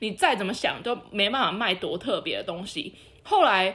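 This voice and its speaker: A woman with a Taiwanese accent at a moderate pace, with very wide pitch swings. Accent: Taiwanese Mandarin. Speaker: podcast co-host. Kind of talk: casual chat.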